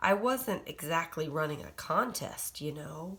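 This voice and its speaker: A raspy, female-sounding voice at a middle pitch, putting on a character voice with a gentle, amused tone at a moderate pace. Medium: read story. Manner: gentle, mildly amused.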